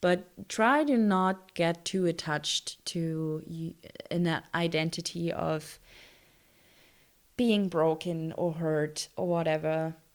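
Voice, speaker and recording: Delivered at a very slow pace in a non-native accent, the speech shows ordinary pitch variation. The recording is very clean, with a silent background. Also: woman, fairly low pitch for a woman. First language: not English. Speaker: lifestyle YouTuber. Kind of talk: casual vlog talk. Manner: hesitant, many fillers.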